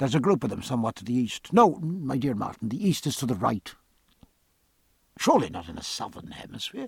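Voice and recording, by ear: Putting on a character voice, a man talks at a fairly quick pace and medium pitch, with big pitch swings, a husky, rough edge and vocal fry.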